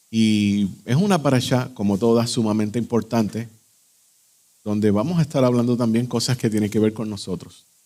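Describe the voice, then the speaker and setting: The recording is very clean with a silent background. A man speaks at a medium pitch in a dark, mellow tone with ordinary pitch variation. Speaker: Messianic Torah teacher. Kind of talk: religious lecture. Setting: live-streamed evening class. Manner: slow. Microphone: echo, too loud.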